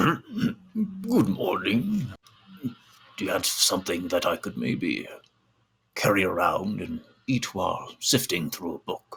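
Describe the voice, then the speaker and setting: A man puts on a character voice, pitched fairly high. He goes at a fairly slow pace with long, frequent pauses. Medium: actual play. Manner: courteous, formal.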